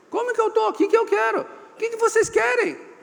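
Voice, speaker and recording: A fairly quick, animated delivery with very wide pitch swings and noticeable background noise. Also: man. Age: 60s. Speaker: business consultant and speaker. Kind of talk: seminar talk. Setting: seminar room with live audience.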